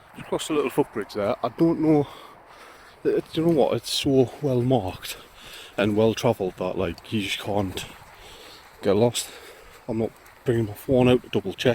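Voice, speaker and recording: At a moderate pace and with ordinary pitch variation, the speaker leaves long, frequent pauses, the sound dry and close with no echo, while noticeable background noise runs underneath. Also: man, medium pitch for a man. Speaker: hiking vlogger. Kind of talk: casual vlog narration while walking. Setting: outdoors on a coastal hike. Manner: halting, informal. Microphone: phone microphone.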